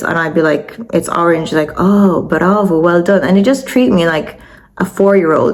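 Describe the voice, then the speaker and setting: Noticeable background noise sits behind a woman speaking in an Irish accent at a medium pitch. Her tone is animated, her pace moderate, and her pitch variation ordinary. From Ireland. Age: 30s. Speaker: vlogger. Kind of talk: personal storytelling.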